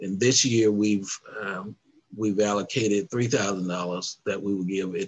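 A man with an American accent, fairly low pitch, fairly even intonation and a very slow pace. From US South. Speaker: civil rights organization president. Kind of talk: interview. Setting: video call. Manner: halting. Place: home room. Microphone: headset.

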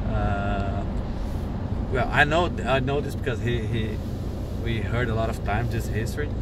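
A man speaks over loud background noise, the sound dry and free of echo. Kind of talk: interview answer, translating a story. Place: car. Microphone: camera far.

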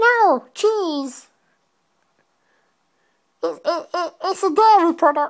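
A put-on character voice at an extremely high pitch, very slow, with long, frequent pauses. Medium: role play. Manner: persistent, repetitive.

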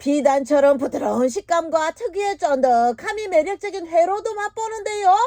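A woman's extremely high voice in a Busan accent, moderate in pace with hardly any pauses, over noticeable background noise. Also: lively intonation. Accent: Busan dialect (Gyeongsang). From South Korea, Busan region. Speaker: voice actor. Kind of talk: TV documentary narration. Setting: studio.

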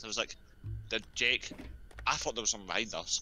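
A man with a bright, sharp tone and vocal fry talks at a very fast pace. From UK. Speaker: gamer. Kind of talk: casual chat. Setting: online voice chat.

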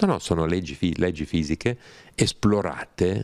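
A man's moderate pace and ordinary pitch variation against a quiet background. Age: 60s. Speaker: writer and scholar of religions; interviewee. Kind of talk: interview conversation. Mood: calm, explanatory. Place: home room. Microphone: handheld.

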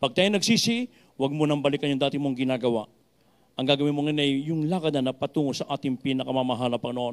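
A man with a fairly high pitch, talking at a very fast pace. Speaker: preacher. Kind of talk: sermon with altar call and closing prayer; sermon. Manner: earnest, urgent, exhorting the congregation to be baptized. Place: church. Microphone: handheld.

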